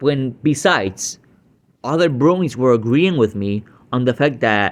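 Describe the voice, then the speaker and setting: A man with a Puerto Rican accent speaks at a very slow pace, his intonation lively. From Puerto Rico. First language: Spanish. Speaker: YouTube reactor. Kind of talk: reaction commentary. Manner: hesitant, many fillers.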